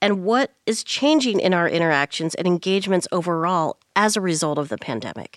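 A woman with a plain, everyday voice and a fairly low pitch talks at a fairly quick pace with lively intonation. The recording is very clean and dry, close, with no echo and a silent background. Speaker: podcast host. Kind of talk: interview.

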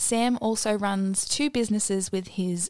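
A woman speaks with ordinary pitch variation. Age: 20s. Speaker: podcast host. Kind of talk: solo monologue. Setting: home living room.

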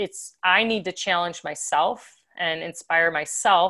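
A woman talks at a medium pitch in a bright, sharp tone. The background is quiet. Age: 50s. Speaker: professional athlete. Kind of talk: casual chat.

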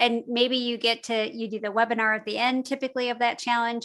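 An unremarkable speaking voice from a woman, fairly high in pitch, at a moderate pace over a quiet background. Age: 40s. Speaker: podcast software co-founder. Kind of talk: interview.

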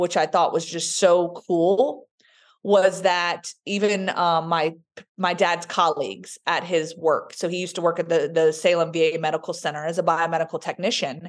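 A woman speaks with a slight Southern US accent in a fairly low pitch. Her intonation stays fairly even against a quiet background. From Roanoke, Virginia. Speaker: sports sideline reporter and speaker. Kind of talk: interview, personal storytelling.

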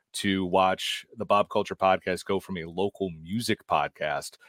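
A man's fairly slow, monotone, flat delivery at a fairly low pitch, in a dry, close sound with no echo. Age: 40s. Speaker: pop culture editor and podcaster. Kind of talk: casual chat. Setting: video call.

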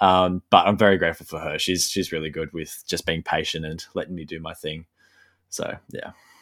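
Big swings in loudness mark a man's very deep, low, monotone, flat voice with an Australian accent on a very clean recording with a silent background. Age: 20s. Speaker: landscape photographer. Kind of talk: interview. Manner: hesitant, many fillers; thoughtful.

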